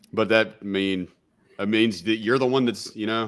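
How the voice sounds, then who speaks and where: This man has a Southern US accent and a medium pitch with ordinary variation. The recording is very clean, with a silent background. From US South. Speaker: podcast co-host. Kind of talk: podcast interview.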